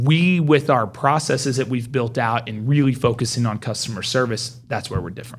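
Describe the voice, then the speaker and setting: A man with an American accent talks at a fairly quick pace and a medium pitch. His voice is somewhat breathy, with ordinary pitch variation. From Oklahoma, Mustang. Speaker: home builder. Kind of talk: casual interview.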